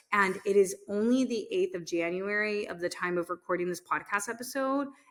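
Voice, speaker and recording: A woman talks at a mid-range pitch while noticeable noise fills the background. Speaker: podcast host and business owner. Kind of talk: unscripted solo podcast monologue. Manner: fast.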